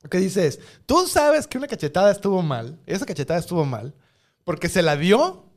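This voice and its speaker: A man with a Mexican accent and high pitch, very wide pitch swings, a fairly quick pace, on a very clean recording with a silent background. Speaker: podcast co-host. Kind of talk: casual chat.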